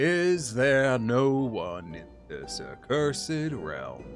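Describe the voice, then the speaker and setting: Clear music plays in the background as a man uses a put-on character voice. His medium pitch comes at a very slow pace. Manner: grave, dramatic.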